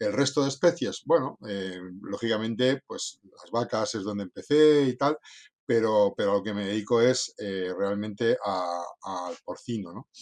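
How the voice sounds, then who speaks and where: An unremarkable speaking voice from a man, fairly low in pitch with ordinary pitch variation, big swings in loudness, a fairly slow pace, and dry, close sound with no echo. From northern Spain (Cantabria coast). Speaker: veterinarian. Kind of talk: interview. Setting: after lunch conversation.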